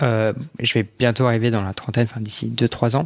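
This man's voice sits at a medium pitch. It sounds dry and close, without any echo. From France, Alsace (Strasbourg). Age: 20s. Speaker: podcast guest sharing his experience. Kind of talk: personal testimony interview. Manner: halting, many fillers.

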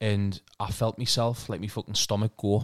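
A man with a northeast England accent speaks at a fairly low pitch in an animated tone. The recording is very clean, with a silent background and a dry, close sound with no echo. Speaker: podcast host. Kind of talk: casual chat. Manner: animated, swears a lot.

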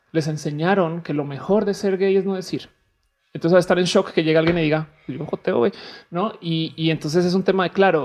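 A woman with an unremarkable speaking voice talks at a fairly quick pace, her fairly low pitch held to fairly even intonation. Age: 30s. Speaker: comedy podcast guest. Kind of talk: casual chat.

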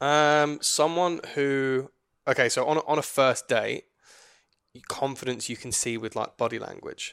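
A man with a British accent speaks at a fairly slow pace in a fairly high voice, his intonation fairly even. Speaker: podcast co-host. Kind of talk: casual chat.

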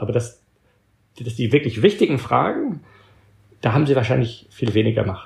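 Somewhat breathy tones carry the speech. The delivery is fairly fast. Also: man. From Belgium. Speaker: author and organizational thinker. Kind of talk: interview. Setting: long-distance remote call. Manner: halting, occasional stumbles.

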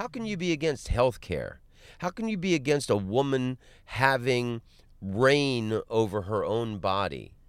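An American accent from a man at a fairly slow pace, with very wide pitch swings on a very clean recording with a silent background. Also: medium pitch for a man. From Florida, Orlando. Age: 40s. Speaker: comedian. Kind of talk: casual chat. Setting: in a car.

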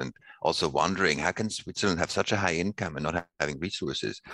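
With vocal fry and a bright, sharp tone, a man talks at a fairly quick pace and ordinary pitch variation in a dry, close sound with no echo. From Switzerland, Basel. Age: 50s. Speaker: sustainability researcher. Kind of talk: interview.

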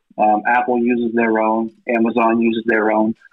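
With an American accent, a man is speaking. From US Midwest, southwest Iowa. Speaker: indie film actor and sales manager. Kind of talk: casual chat.

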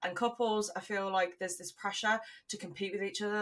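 A woman with an English accent, very fast, in a monotone, flat delivery. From England. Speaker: podcast co-host. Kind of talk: casual chat.

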